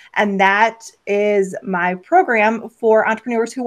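Ordinary pitch variation over a quiet background. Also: woman. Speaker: business strategist. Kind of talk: interview. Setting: video call.

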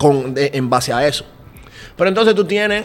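This is a man talking. He speaks at a fairly quick pace. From Dominican Republic. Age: 20s. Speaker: podcaster and creative director. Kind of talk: casual chat. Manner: animated.

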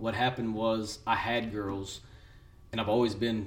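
At a moderate pace and medium pitch, a man talks with a West Texas accent. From West Texas (Seminole). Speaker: churchgoing father. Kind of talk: casual chat.

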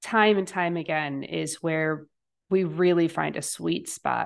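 A woman talks very slowly, and the background is quiet. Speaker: podcast host and coach. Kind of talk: interview.

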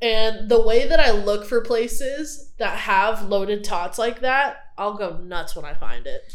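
A woman with an American accent talks with hardly any pauses and ordinary pitch variation. Music plays in the background. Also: fairly high pitch for a woman. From Texas, Houston. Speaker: podcast co-host, student. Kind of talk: casual chat.

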